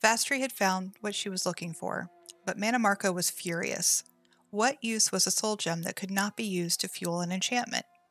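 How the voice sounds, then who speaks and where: Music plays in the background as a woman talks at a moderate pace with ordinary pitch variation, the sound dry and close with no echo. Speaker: streamer. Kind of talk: lore book reading. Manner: soft-spoken.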